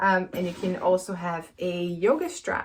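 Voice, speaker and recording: A woman with a Brazilian accent. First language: Brazilian Portuguese. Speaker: yoga teacher and PhD student. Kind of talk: casual introduction and tutorial. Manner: hesitant, many fillers.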